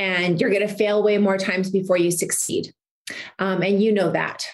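In a Canadian accent, a woman talks at medium pitch with fairly even intonation and a normal speaking voice. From Saskatchewan, Canada. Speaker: entrepreneur and model. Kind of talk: interview.

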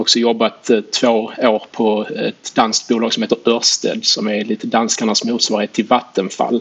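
A man talks at a moderate speed while noticeable noise sounds in the background. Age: 40s. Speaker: equity analyst and investor. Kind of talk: interview.

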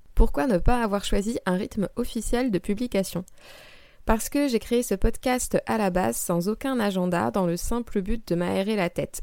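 A woman speaks with ordinary pitch variation at a moderate pace, using an ordinary speaking voice. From France, Val-de-Marne (Paris area). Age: 20s. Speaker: astrologer and podcast host. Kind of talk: solo podcast Q&A monologue.

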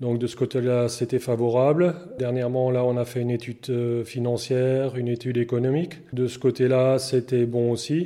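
A man's medium-pitched, monotone delivery at a moderate pace, flat in intonation and with hardly any pauses. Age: 40s. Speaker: dairy farmer. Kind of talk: interview. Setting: farm. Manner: halting.

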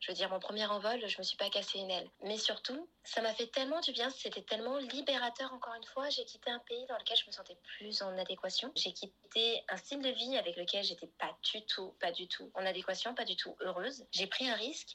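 Her pitch fairly high and her tone bright and sharp, a woman speaks at a fairly quick pace with ordinary pitch variation. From France, Paris. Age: 20s. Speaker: podcast guest. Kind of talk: casual interview. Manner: animated.

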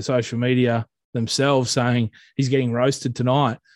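Someone speaks with an Australian accent at a moderate pace, in a monotone, flat intonation. The sound is dry and close, without echo. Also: man. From Central West New South Wales, Australia. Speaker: social media page creator. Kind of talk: casual interview. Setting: video call. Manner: halting, many fillers.

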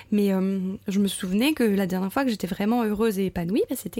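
Her voice has a dark, mellow tone that is somewhat breathy, sitting at a medium pitch for a woman. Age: 30s. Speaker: primary school teacher sharing motherhood testimony. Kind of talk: testimony. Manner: hesitant, many fillers.

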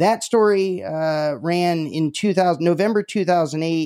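A fairly high-pitched man with an ordinary speaking voice, ordinary pitch variation, and a fairly slow pace, in a dry, close sound with no echo. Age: 30s. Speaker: podcast host. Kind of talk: interview.

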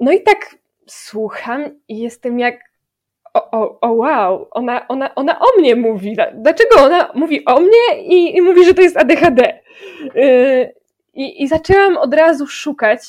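Pitched high with very wide pitch swings, a woman's voice unfolds at a fairly slow pace. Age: 20s. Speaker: music education student. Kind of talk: casual chat.

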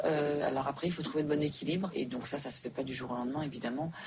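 A woman with a very deep, low pitch keeps her intonation fairly even as noticeable background noise continues. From Switzerland. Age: 40s. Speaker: restaurant entrepreneur. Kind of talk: interview. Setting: quiet back room. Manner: hesitant with frequent repetitions.

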